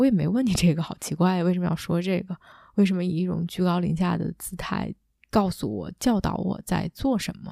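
A woman's fairly low, dark and mellow voice with vocal fry, a calm, warm tone, ordinary pitch variation, and a fairly quick pace, on a very clean, dry, close recording with a silent background and no echo. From China. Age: young. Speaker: leadership coach and podcast host. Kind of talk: solo reflective monologue. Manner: calm and warm.

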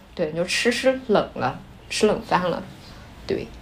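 A woman speaks at a moderate pace with lively intonation, over noticeable background noise and with audible room echo. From Shanxi, northern China. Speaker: podcast co-host. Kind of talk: casual chat.

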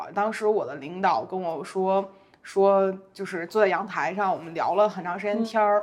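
A woman's normal speaking voice, at a moderate pace, with fairly even intonation and big swings in loudness. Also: medium pitch for a woman. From Beijing. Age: 30s. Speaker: content creator. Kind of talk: casual interview.

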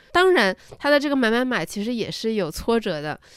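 A fairly high woman's voice with very wide pitch swings at a moderate pace, on a very clean recording with a silent background. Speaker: podcast co-host. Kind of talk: casual business news chat.

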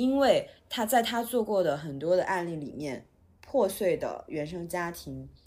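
Her pitch swings very widely. The woman talks at a medium pitch and a moderate pace. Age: 30s. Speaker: podcast host and writer. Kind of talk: casual chat.

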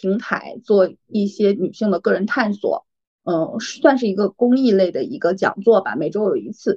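A woman's dark, mellow voice at medium pitch and moderate pace, with a dry, close sound and no echo. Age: 30s. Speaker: MBTI assessor, personal growth coach. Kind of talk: casual interview chat.

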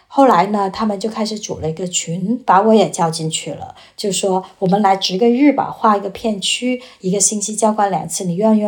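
A woman's unremarkable speaking voice, medium in pitch, with ordinary pitch variation, a moderate pace and hardly any pauses. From China. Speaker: former journalist, student. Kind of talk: casual chat.

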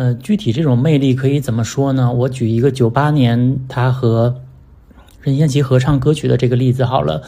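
The tone is dark and mellow and somewhat breathy, with a moderate pace, very even loudness and fairly even intonation. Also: man, medium pitch for a man. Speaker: podcast host discussing music. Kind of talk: solo casual monologue on music. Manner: conversational, with frequent fillers.

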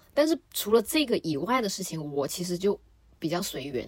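Moving at a fairly quick pace, the speaker uses a plain, everyday voice. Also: woman. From Shenzhen, Guangdong, China. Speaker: podcast guest. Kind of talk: casual chat.

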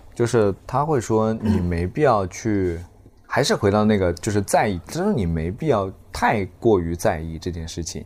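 An ordinary speaking voice from a man, fairly low in pitch, with lively intonation at a moderate pace. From Zhejiang, China. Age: 20s. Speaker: stand-up comedian. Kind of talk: casual chat. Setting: hotel room.

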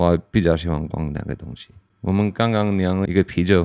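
In an English accent, a man with a very deep, low pitch speaks with fairly even intonation, the sound dry and close with no echo. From Pennsylvania, US. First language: English (speaking Chinese). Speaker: brewer. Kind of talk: casual interview chat.

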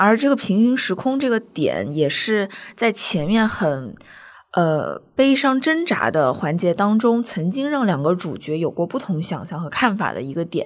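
Her pitch at a medium level, a woman speaks with very wide pitch swings. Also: fairly slow pace. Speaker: podcast host. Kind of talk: casual chat podcast.

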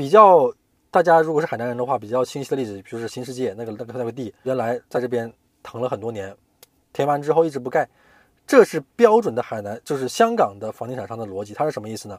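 A man's medium-pitched voice at a very fast pace, with ordinary pitch variation, big swings in loudness and a dry, close sound with no echo. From Hainan, China. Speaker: corporate finance professional. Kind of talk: interview.

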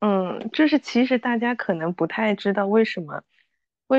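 Speaking at a moderate pace with lively intonation and a strong Suzhou accent, a woman sounds dry and close with no echo against a quiet background. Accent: fairly strong Suzhou. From Suzhou, China. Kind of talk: casual chat.

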